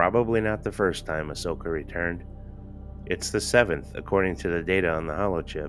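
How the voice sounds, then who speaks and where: Over music in the background, a man with a very deep, low pitch speaks at a fairly quick pace with ordinary pitch variation. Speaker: amateur audiobook narrator. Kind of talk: fan audiobook reading. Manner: some stuttering and stammering.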